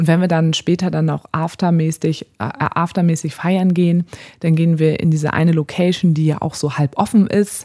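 A woman's fairly low voice, dark and mellow in tone, moves at a moderate pace with fairly even intonation. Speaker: podcast co-host. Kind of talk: casual chat.

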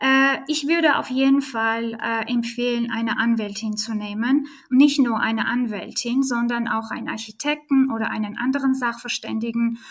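A woman with an Armenian accent talks at a moderate pace with fairly even intonation and hardly any pauses. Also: fairly high pitch for a woman. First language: Armenian (speaking German). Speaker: real estate lawyer. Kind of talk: interview.

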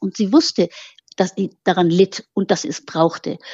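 The woman's voice is somewhat breathy. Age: old. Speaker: biographer, author. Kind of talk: interview conversation.

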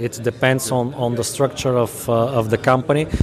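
With a Bulgarian accent and a medium pitch, a man speaks in a monotone, flat way over noticeable background noise. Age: 30s. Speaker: company CEO and founder. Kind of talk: interview. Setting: conference venue. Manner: halting.

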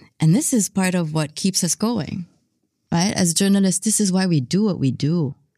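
A woman's dark, mellow voice with lively intonation, in a very clean recording with a silent background. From Philippines, partly raised in San Francisco. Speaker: journalist. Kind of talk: interview.

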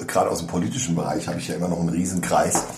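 A man speaks in a very deep, low voice. Audible room echo and noticeable background noise surround him. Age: 50s. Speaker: podcast co-host. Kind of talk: casual chat. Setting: informal setting over coffee, not a studio.

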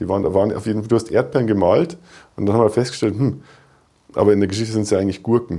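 With a dark, mellow tone and fairly low pitch, a man rushes along at a very fast pace with ordinary pitch variation. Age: 30s. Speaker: software developer and children's author. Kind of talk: casual interview.

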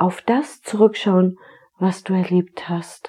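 Very slowly, a woman speaks in a gentle, dark, mellow tone. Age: 40s. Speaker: podcast host, tax advisor and therapist. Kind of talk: reflective solo podcast monologue. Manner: gentle, inviting.

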